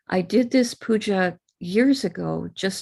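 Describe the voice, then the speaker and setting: A woman speaks with an American accent. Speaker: spiritual teacher leading puja. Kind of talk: live online ritual instruction.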